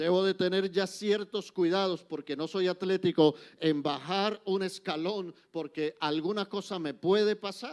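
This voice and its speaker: The speaker goes at a fairly slow pace with hardly any pauses and fairly even intonation, against a quiet background. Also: man, high pitch for a man. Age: 60s. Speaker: church speaker. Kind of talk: lecture. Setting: church.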